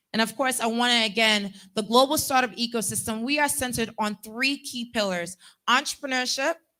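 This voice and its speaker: On a very clean recording with a silent background, a woman speaks with an American accent at a fairly quick pace. Her tone is bright, sharp and animated, her pitch fairly high with ordinary variation. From US, Haitian heritage. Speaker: event host and organizer. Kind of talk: conference keynote address. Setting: stage with live audience. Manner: animated, interactive.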